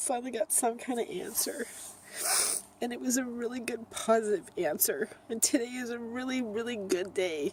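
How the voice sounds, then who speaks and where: A female-sounding, put-on character voice, raspy and high-pitched, runs at a moderate pace over light background noise. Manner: happy and emotional.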